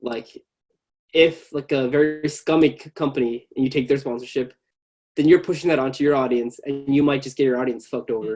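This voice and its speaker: An ordinary speaking voice from a man in an American accent, fairly high in pitch, at a fairly quick pace, with big swings in loudness. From US, Bangladeshi family. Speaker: tech YouTuber. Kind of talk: casual chat. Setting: video call.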